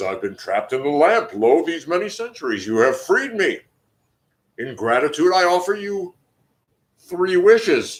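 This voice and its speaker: Putting on a character voice, a man talks at a high pitch and a moderate pace, with long, frequent pauses. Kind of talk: archaic, formal. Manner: grand, solemn.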